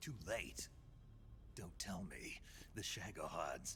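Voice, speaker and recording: A man uses a put-on character voice. He talks at a very slow pace against clear background noise. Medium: video game. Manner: terse, gruff.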